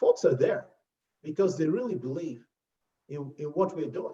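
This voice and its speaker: Here a man speaks with a Nigerian accent. His voice is fairly high-pitched, with a dark, mellow tone. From Nigeria (Lagos). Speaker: health insurance executive. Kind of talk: interview. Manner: animated.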